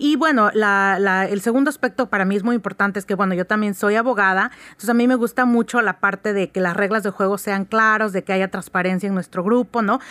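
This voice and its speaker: In a dry, close recording with no echo, a woman with a plain, everyday voice talks at a fairly quick pace with hardly any pauses, fairly even intonation and very even loudness. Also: medium pitch for a woman. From Oaxaca, Mexico. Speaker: lawyer and writers' group board member. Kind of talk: radio interview.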